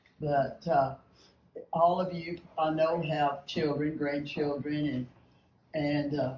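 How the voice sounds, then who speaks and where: Somewhat breathy and very deep in pitch, a woman with a Texan accent speaks at a fairly slow pace. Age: 80s+. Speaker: retired basketball coach, speaker. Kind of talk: speech to a lunch meeting. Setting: luncheon with audience.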